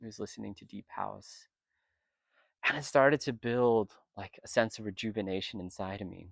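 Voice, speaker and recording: At a moderate pace and fairly low pitch, a man talks with ordinary pitch variation, long, frequent pauses and big swings in loudness, the sound dry and close with no echo on a very clean recording with a silent background. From US, Vietnamese American. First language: Vietnamese. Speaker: retreat participant. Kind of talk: testimony. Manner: reflective, emotional.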